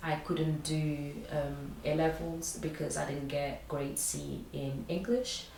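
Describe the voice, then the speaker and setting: The woman's voice sits at a very deep, low pitch and moves at a very slow pace. Audible room echo surrounds it. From Portugal. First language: Portuguese. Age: 20s. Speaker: recent graduate. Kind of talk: interview. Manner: hesitant, many fillers.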